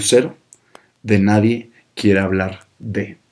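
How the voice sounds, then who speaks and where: With a northern Mexican accent, a man speaks at a very slow pace. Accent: northern Mexican (Monterrey) Spanish. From Mexico, Monterrey (north). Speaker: podcast host, communicator, former radio presenter. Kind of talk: casual solo monologue.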